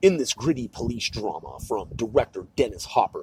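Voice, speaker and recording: A man in a put-on character voice, fairly high-pitched, at a moderate pace. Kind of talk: dramatic, declamatory. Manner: exaggerated, announcer-like.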